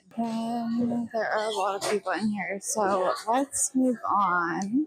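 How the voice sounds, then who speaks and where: A woman speaks very slowly at a fairly high pitch, her loudness very even, against noticeable background noise. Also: ordinary pitch variation. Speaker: travel agent vlogger. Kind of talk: walking ship tour narration.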